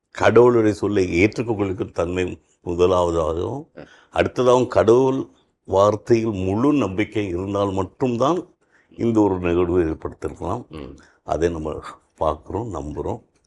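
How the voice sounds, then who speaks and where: In an ordinary speaking voice, a man talks at a fairly low pitch with ordinary pitch variation, the background quiet. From Chennai, India. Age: 60s. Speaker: retired high court judge. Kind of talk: interview testimony.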